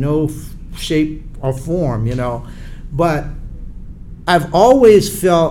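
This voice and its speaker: A fairly high-pitched man with an American accent and a dark, mellow tone, amid audible room echo. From US South, Charleston, South Carolina. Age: 70s. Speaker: retired Air Force colonel, civil rights activist. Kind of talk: interview.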